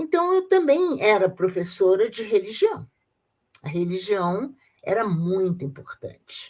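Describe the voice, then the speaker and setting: A woman with a Rio de Janeiro accent talks fairly slowly at a medium pitch, her intonation lively. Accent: carioca. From Brazil, Rio de Janeiro. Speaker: retired teacher, Freemason. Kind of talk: interview testimony. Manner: halting, with repetitions.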